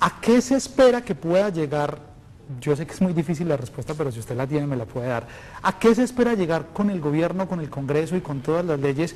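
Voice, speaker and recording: A man with a fairly high pitch talks at a fairly quick pace, his pitch swinging very widely over noticeable background noise. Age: 20s. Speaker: TV magazine host. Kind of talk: live TV consultation show.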